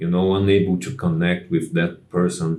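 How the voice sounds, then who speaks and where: Monotone, flat intonation and a dark, mellow tone mark this voice with a non-native accent. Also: man. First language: not English. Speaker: music channel host. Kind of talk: casual monologue. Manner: halting, many fillers.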